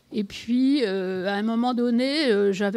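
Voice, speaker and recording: In a very clean recording with a silent background, a woman with a fairly high pitch speaks at a very slow pace. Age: 70s. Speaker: composer. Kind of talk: conference talk. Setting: conference with audience. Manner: hesitant, many fillers.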